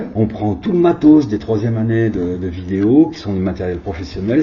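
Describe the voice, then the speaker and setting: Lively intonation and a moderate pace come through over noticeable background noise. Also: man. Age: 60s. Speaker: video artist. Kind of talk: interview. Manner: hesitant.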